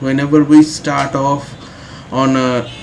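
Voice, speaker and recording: Monotone, flat intonation in an Indian accent, with audible room echo and noticeable background noise. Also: man. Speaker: English teacher. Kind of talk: tutorial. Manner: frequent hesitations (uh).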